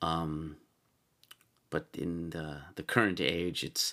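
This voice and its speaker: The recording is very clean, its background silent. A man's voice drops to a very deep, low pitch. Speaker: solo podcast host and writer. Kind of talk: casual solo monologue. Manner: rambling, hesitant with many fillers; sometimes formal, professorial.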